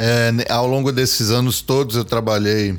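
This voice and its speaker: With music playing behind him, a man speaks at a moderate pace. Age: 50s. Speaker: multi-instrumentalist and music producer. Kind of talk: casual chat.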